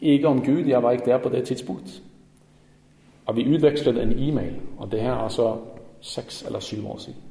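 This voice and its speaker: With audible room echo, a man speaks at a moderate pace and medium pitch, his intonation fairly even, his loudness swinging widely, and his speech broken by long, frequent pauses. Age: 40s. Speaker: lay preacher. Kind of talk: sermon. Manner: halting.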